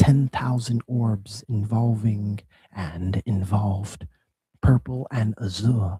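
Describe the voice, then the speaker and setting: A man speaks very slowly in a dark, mellow, somewhat breathy tone at medium pitch, with ordinary pitch variation and a dry, close sound with no echo. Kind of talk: dramatic poetry reading.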